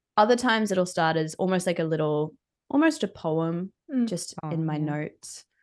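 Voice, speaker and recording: In an Australian accent, a woman speaks at a moderate pace with a fairly low pitch. The background is quiet. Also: ordinary pitch variation. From Australia (Brisbane). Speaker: musician. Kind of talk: casual chat.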